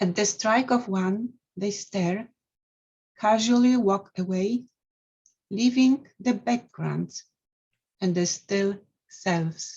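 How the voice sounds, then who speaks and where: In a Polish accent, the speaker talks at a very slow pace with long, frequent pauses, ordinary pitch variation, and a somewhat breathy voice. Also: woman, medium pitch for a woman. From Poland, Mazovia. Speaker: poet and scientist. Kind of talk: poetry reading.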